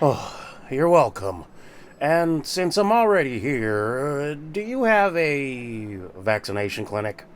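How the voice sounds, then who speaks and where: A put-on character voice from a man, gruff and fairly high, swinging very widely in pitch at a fairly slow pace, with light background noise. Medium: audio drama. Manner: folksy, ungrammatical, gruff.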